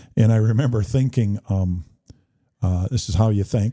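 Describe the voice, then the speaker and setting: Somewhat breathy and dark, mellow in tone, a man's fairly low voice moves with ordinary pitch variation. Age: 60s. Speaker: political candidate, retired police chief. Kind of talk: casual interview. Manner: halting, many fillers.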